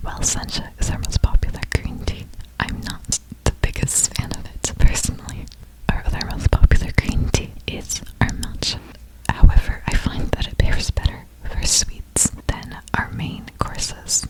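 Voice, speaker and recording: A man whispers at a moderate pace, his loudness swinging widely, over noticeable background noise. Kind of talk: whispered maid cafe ASMR roleplay. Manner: whispered, soft-spoken, polite.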